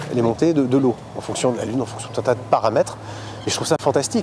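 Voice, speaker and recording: A man speaks at a very fast pace with medium pitch and lively intonation over noticeable background noise. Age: 30s. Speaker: sailor and family expedition leader. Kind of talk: casual interview. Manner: animated, many hesitations.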